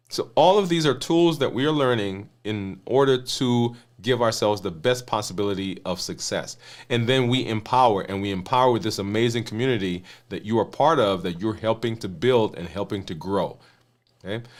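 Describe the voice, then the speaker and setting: A man talks at a moderate pace with a medium pitch and lively intonation. The recording is very clean, with a silent background. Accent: Caribbean. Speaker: physician and health coach. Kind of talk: live stream talk to viewers. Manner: hesitant, with fillers.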